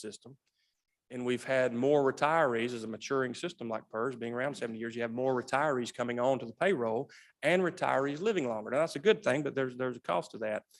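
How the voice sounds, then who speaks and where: A man with a Southern US accent talks at a very fast pace, his medium pitch showing ordinary variation. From US South. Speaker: state pension system director. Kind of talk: legislative committee testimony. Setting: legislative hearing room.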